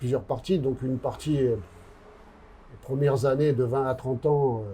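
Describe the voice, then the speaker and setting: Amid noticeable background noise, a man speaks at a fairly slow pace in a medium pitch with ordinary pitch variation. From Corsica. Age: 60s. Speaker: author and former prisoner. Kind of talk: interview. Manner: hesitant, many fillers.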